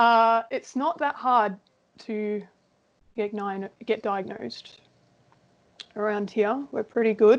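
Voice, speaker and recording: With an Australian accent, a woman speaks at a very slow pace with long, frequent pauses, her fairly high pitch showing ordinary pitch variation. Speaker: interviewee with ADHD. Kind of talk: casual interview chat.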